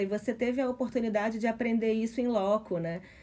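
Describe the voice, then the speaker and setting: This woman's pitch is fairly high, with ordinary variation. Her tone is dark and mellow. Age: 40s. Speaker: podcast host, sociologist. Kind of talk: casual chat.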